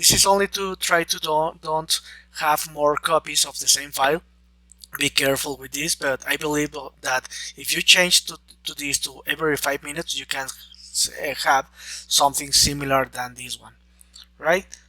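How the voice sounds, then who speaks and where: A man with a non-native accent and fairly high pitch speaks at a moderate pace with fairly even intonation and big swings in loudness. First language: Spanish. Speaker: software trainer. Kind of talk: tutorial. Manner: halting, many fillers and restarts.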